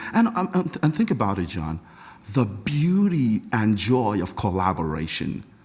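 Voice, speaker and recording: Somewhat breathy, a man talks at a fairly slow pace with very wide pitch swings. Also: fairly low pitch for a man. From Nigeria, Lagos. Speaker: composer and music professor. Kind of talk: casual interview. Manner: animated, enthusiastic; halting with many repetitions.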